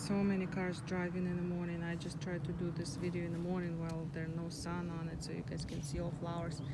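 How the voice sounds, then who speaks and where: Soft-spoken and fairly low-pitched, a woman races along at a very fast pace in a monotone, flat intonation, with noticeable background noise and audible room echo. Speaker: gardening vlogger. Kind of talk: casual garden tour vlog. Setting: outdoors in front garden.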